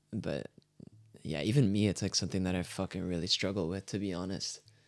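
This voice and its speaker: A man with an unremarkable speaking voice and a Canadian accent, fairly low pitch, ordinary pitch variation and a fairly quick pace, in a very clean recording with a silent background. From Canada. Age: 20s. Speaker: musician. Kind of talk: casual chat.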